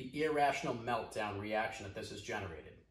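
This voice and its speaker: Over noticeable background noise and audible room echo, a man with a Boston accent speaks at a fairly quick pace in an animated tone, with ordinary pitch variation. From US Northeast, Boston. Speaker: video commentator, business owner. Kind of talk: commentary vlog. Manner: fast, direct.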